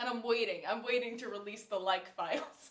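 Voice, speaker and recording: The tone is bright and sharp, delivered with an American accent at a moderate pace. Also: woman. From US South, Nashville, Tennessee. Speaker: podcast host, classical singer. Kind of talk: casual chat.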